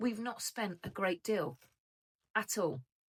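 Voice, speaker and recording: A woman of medium pitch speaks with an English accent. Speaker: budgeting vlogger. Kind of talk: casual vlog chat. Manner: hesitant, many fillers.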